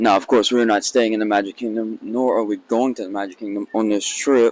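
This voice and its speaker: Over noticeable background noise, a quiet man with a medium pitch speaks fairly quickly in a monotone, flat intonation. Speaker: vlogger. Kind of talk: casual vlog talk. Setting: outdoors at theme park. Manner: speaks quietly.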